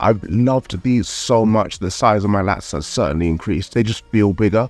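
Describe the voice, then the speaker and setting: Music plays in the background as a man talks fairly quickly at a fairly low pitch with ordinary pitch variation. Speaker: calisthenics vlogger. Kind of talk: vlog narration.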